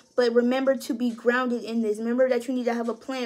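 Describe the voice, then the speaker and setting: Over noticeable background noise, the speech runs very fast in a monotone with flat intonation. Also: woman. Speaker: tarot reader. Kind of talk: tarot reading. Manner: casual, hesitant.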